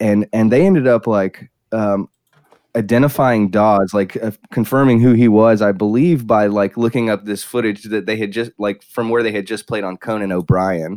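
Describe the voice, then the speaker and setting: A man with an American accent, a fairly low pitch and a normal speaking voice, at a moderate pace with fairly even intonation, in a dry, close sound with no echo. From South Carolina. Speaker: drummer. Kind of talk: casual chat.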